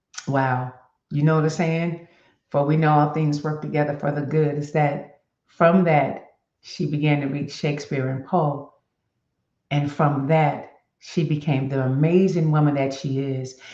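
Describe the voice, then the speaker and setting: A woman's very deep, low voice with a dark, mellow tone, flat and monotone, at a fairly slow pace, with audible room echo. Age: 60s. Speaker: motivational web show host. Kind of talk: reading aloud; casual talk to viewers. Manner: halting.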